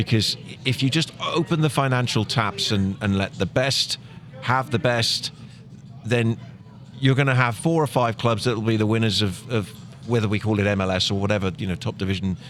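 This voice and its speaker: A medium-pitched man with an English accent at a fairly quick pace, ordinary pitch variation and noticeable background noise. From Plymouth, England. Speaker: soccer commentator. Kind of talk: podcast interview answer.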